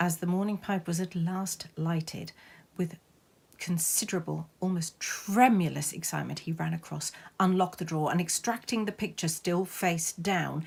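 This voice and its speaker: Her voice is fairly low for a woman, with vocal fry and fairly even intonation. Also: very clean recording, silent background. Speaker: amateur theatre performer. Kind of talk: ghost story reading.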